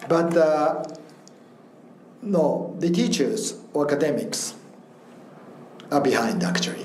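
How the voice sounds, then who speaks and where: Amid noticeable background noise and audible room echo, a man with a Japanese accent talks at a very slow pace with long, frequent pauses and very even loudness. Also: fairly high pitch for a man, ordinary pitch variation. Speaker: professor. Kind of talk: interview. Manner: halting.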